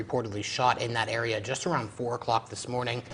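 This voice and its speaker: The speech comes at a very fast pace. The voice is somewhat breathy. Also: man, quiet background. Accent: American. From Pennsylvania. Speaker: TV news anchor and reporter. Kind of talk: morning news anchoring.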